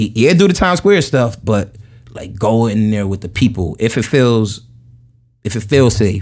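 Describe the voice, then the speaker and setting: A man with a New York accent talks at a moderate pace and medium pitch. His intonation is lively. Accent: New York (Queens). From Jamaica, Queens, New York City. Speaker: podcast guest, solo traveler. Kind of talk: casual chat. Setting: in person at host's place in Long Island.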